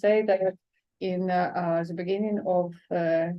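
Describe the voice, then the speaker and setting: A woman's flat, monotone delivery at medium pitch and a fairly slow pace, in a Ukrainian accent. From eastern Ukraine. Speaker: poet. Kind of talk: event talk. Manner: halting, many hesitations.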